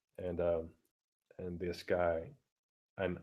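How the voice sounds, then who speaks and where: A man speaks quietly in a very deep, low voice. His pace is very slow. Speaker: vlogger. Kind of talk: casual rant. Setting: live stream at home. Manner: halting.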